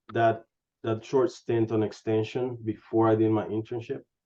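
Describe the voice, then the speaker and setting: This man has a medium-pitched voice and speaks with a Spanish accent. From Honduras. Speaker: animal science industry scientist. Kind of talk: career interview.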